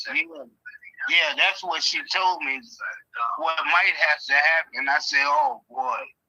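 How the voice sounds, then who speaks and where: Long, frequent pauses break up a man's speech. His pace is very slow. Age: 60s. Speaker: property owner selling to an investor. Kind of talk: phone call with investor. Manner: halting, many fillers.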